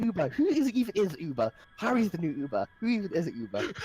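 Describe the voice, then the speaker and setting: Speech with a British accent comes at a very fast pace. Music plays in the background. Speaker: esports caster streaming a game. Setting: live stream.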